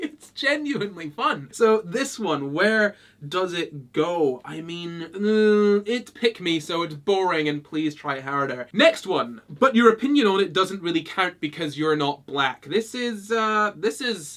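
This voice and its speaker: The speech comes at a fairly slow pace with hardly any pauses, in a Scottish accent. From Scotland. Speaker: YouTuber. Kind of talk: casual commentary video. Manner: animated, laughing.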